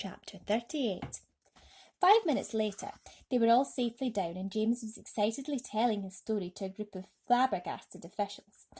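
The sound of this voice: A woman with a fairly high pitch, a slightly mellow tone and a slightly husky edge speaks at a moderate pace with lively intonation.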